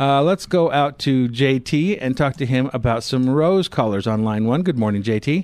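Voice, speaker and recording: A man with an ordinary speaking voice talks at a moderate pace and medium pitch, showing ordinary pitch variation, very even loudness and hardly any pauses. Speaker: radio gardening show co-host. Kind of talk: call-in radio show. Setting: studio.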